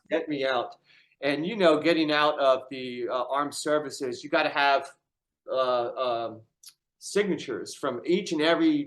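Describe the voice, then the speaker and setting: A man with an American accent and a fairly high pitch talks at a moderate pace with ordinary pitch variation, a plain, everyday voice. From Syracuse, New York, US. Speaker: army veteran with brain injury. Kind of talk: casual conversation.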